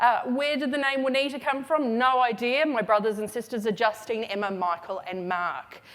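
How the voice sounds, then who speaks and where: This woman has a high pitch and a slight Australian accent. Her pitch swings very widely. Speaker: retail consultant, keynote speaker. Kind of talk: conference keynote. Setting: stage with audience. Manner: casual, with many fillers.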